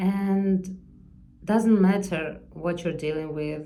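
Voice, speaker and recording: Speaking very slowly, a woman uses a fairly low, dark and mellow tone with fairly even intonation. Room echo is audible. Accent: non-native. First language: not English. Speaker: artist vlogger. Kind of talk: unscripted personal vlog monologue. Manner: halting, searching for words.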